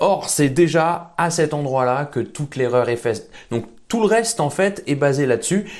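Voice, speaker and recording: A man's unremarkable speaking voice, fairly high in pitch, with lively intonation at a moderate pace, on a very clean recording with a silent background. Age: 20s. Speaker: fitness coach YouTuber. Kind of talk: educational video monologue.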